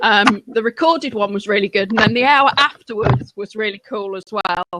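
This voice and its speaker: A woman with a strong Lincolnshire accent speaks at a moderate pace and a fairly high pitch, her intonation lively, in a dry, close sound with no echo. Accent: heavy Lincolnshire. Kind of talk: casual chat.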